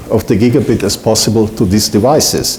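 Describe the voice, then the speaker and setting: A man talks at a fairly quick pace. The room echo is audible and the background noise noticeable. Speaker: solutions engineer. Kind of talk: conference talk.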